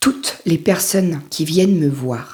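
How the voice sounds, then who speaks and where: A woman talks with ordinary pitch variation. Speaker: life coach. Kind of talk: motivational talk to camera. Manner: casual, halting.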